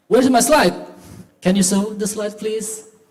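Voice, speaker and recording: A man with an Indonesian accent speaks with audible room echo. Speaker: history education lecturer. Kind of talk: conference talk. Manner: halting.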